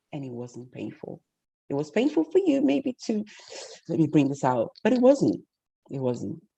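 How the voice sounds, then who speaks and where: A woman with a Portuguese accent at a moderate pace, with long, frequent pauses and big swings in loudness. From Portugal and Guinea-Bissau. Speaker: masterclass facilitator, bank director. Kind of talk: interactive online masterclass. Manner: confident.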